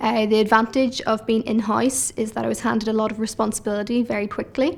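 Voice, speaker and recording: A woman's fairly high voice in a Northern Irish accent, very fast and monotone, flat in intonation. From Northern Ireland. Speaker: paralegal. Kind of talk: interview monologue.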